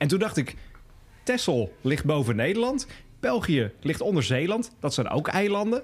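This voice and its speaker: A man speaks at a high pitch with very wide pitch swings. His pace is fairly slow. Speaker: podcast host. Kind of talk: casual chat. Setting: pub.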